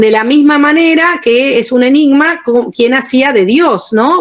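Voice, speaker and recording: A woman speaks, her intonation lively. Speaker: theatre historian and lecturer. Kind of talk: lecture. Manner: clear, pleasant delivery.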